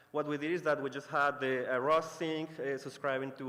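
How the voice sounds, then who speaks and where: A man talks at a fairly quick pace with a fairly high pitch. His intonation stays monotone and flat. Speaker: conference presenter. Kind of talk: technical talk. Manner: fast; hesitant, many fillers.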